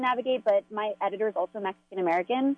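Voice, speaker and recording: This is a woman speaking. Her pace is very fast. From Los Angeles. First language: Spanish. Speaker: newspaper reporter. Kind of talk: interview.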